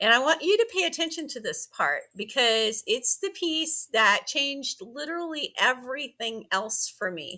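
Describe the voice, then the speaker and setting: A woman's raised, projected voice, high-pitched with a bright, sharp tone, very wide pitch swings and a fairly slow pace. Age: 60s. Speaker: online business coach and affiliate marketer. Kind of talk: casual vlog talk to camera. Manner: conversational, with filler words.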